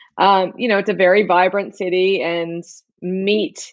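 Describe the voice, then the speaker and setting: A woman speaks at a moderate pace with an Australian accent. Her pitch is fairly low. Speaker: chef and barbecue expert. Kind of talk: interview.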